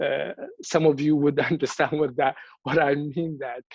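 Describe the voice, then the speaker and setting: Against a quiet background, a man with a Somali accent speaks at a moderate pace and a fairly high pitch, with a dry, close sound and no echo. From Somalia. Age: 30s. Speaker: activist. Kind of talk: speech at a virtual event. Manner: repetitive false starts.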